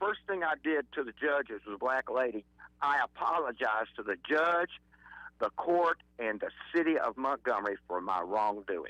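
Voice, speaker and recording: With an Alabama accent, a man speaks in a fairly high, bright and sharp voice whose pitch swings very widely, recorded dry and close with no echo. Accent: Southern US (Alabama). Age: 70s. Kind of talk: casual chat.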